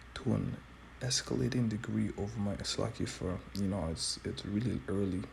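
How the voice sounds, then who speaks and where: A quiet man's voice, very deep and low in pitch, at a moderate pace. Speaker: street preacher. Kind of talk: bible teaching commentary. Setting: at home early morning, others sleeping. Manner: quiet, low voice.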